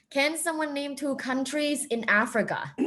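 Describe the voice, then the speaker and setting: A woman speaks with ordinary pitch variation. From Thailand. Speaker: professor. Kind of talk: interactive lecture.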